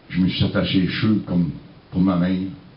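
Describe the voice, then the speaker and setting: A man with a Quebec accent at a moderate pace, amid audible room echo. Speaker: singer-songwriter. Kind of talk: storytelling.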